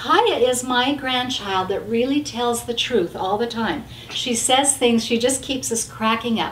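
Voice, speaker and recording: A woman's high-pitched voice amid audible room echo and noticeable background noise. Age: 60s. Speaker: grandmother and wellness coach. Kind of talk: casual chat. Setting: at home.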